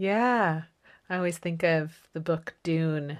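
Very slowly and with fairly even intonation, a woman speaks in a fairly low pitch on a very clean recording with a silent background. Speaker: podcast host. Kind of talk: casual chat.

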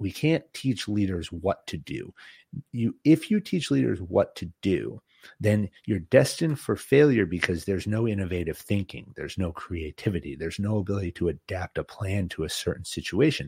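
A man with an American accent, fairly low-pitched, dark and mellow in tone, somewhat breathy, with very wide pitch swings at a moderate pace, in a very clean recording with a silent background and a dry, close sound with no echo. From Boston, New England. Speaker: former special forces officer, business leader. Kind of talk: interview.

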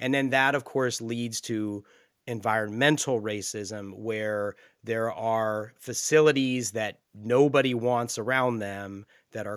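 A man speaks in a plain, everyday voice with a fairly low pitch. The recording is very clean, with a silent background. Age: 40s. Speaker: podcast host. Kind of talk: interview conversation; scripted narration.

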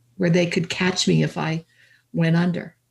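With a Canadian accent, a woman speaks in a somewhat breathy, medium-pitched voice with ordinary pitch variation. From Canada, southern Alberta. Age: 70s. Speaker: life coach. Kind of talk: interview. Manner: halting.

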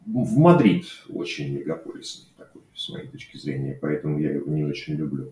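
A man speaks at a moderate speed, his loudness swinging widely, with noticeable background noise behind him. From Russia, Saint Petersburg. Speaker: software developer. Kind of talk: unscripted personal monologue. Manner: hesitant, many fillers. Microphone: cheap microphone.

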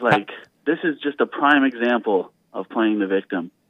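A man's medium-pitched, unremarkable speaking voice in a Canadian accent, with lively intonation. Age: 30s. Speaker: caller. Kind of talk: phone-in call. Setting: phone call. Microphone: muffled and quiet at one point.

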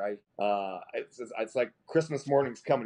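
At a fairly quick pace, a man with an ordinary speaking voice talks with ordinary pitch variation. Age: 50s. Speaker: masters CrossFit athlete. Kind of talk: casual interview.

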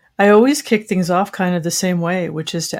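A woman with a plain, everyday voice speaks at a fairly low pitch. Her intonation is fairly even, in a very clean recording with a silent background. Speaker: podcast co-host. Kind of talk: casual interview conversation.

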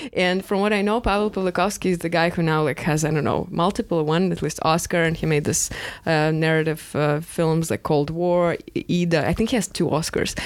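Speaking at a fairly quick pace with a Russian accent, a woman uses a fairly low pitch, ordinary pitch variation and very even loudness. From Moscow, Russia. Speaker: co-host. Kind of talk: casual conversation.

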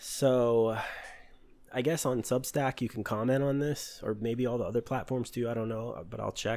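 The man's pitch sits at a medium level. He talks at a moderate pace with fairly even intonation. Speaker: podcast host, hacker. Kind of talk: solo podcast monologue on cybersecurity. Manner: monotone; hesitant, with fillers.

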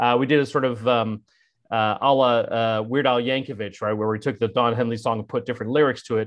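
With an American accent and a normal speaking voice, a man talks at a fairly quick pace and medium pitch, with ordinary pitch variation. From US West Coast, San Francisco Bay Area. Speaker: political communications strategist and data activist. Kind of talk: casual interview conversation.

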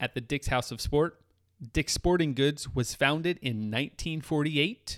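A man with a fairly high pitch and an ordinary speaking voice, dry and close with no echo. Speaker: podcast co-host. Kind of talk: casual chat.

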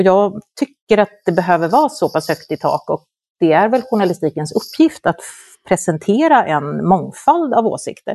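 Dry and close with no echo, a woman's medium-pitched voice has a dark, mellow tone, very wide pitch swings, and a moderate pace. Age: 50s. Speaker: journalist and moderator. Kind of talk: interview.

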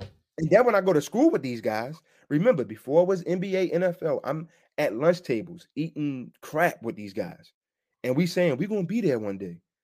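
A man with a Baltimore accent, fairly high in pitch and animated, with very wide pitch swings. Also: moderate pace, very clean recording, silent background. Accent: Baltimore American, noticeable. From Baltimore, US. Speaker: sports media personality. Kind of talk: casual interview chat. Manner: animated, halting, repeats words.

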